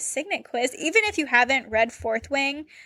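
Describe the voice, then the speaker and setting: A woman speaks in a raised, projected voice, high-pitched and bright with a sharp edge, her pitch moving in an ordinary way. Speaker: podcast co-host. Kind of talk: casual chat.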